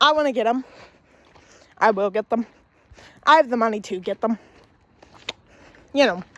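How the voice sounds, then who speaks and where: In a dry, close recording with no echo, a woman talks at a moderate pace with long, frequent pauses, her pitch fairly high and its variation ordinary. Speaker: vlogger. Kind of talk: casual walking vlog. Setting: outdoors, walking. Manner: loud; casual, rambling.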